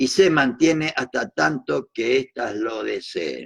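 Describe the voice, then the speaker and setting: A man's voice, dry and close with no echo. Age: 70s. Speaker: political educator. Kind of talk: lecture. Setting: recorded at night. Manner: reading aloud with commentary.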